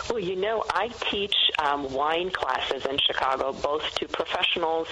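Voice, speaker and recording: A woman's voice at a moderate pace, with ordinary pitch variation and noticeable background noise. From Macedonia. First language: Macedonian. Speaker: wine educator and author. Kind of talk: radio interview.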